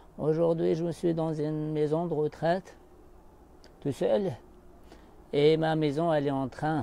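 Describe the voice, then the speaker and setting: A man with a fairly high pitch and a dark, mellow tone speaks at a very slow pace with fairly even intonation. He takes long, frequent pauses. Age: 70s. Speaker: life coach. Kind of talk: live stream monologue. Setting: live stream.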